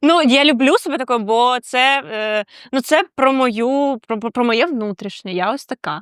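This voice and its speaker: A woman's high-pitched voice with lively intonation, dry and close with no echo, on a very clean recording with a silent background. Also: fairly slow pace. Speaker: podcast co-host, design agency operations lead. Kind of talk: casual chat. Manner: loud.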